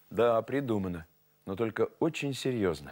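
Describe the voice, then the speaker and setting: A man's fairly slow speech is heard against a quiet background. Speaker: TV presenter, storyteller. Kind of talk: moral talk to viewers. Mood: warm, gently instructive. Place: studio.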